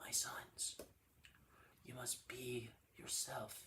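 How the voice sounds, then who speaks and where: Using a put-on character voice, a man speaks at a medium pitch in a raspy, solemn tone. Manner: wise, paternal, solemn.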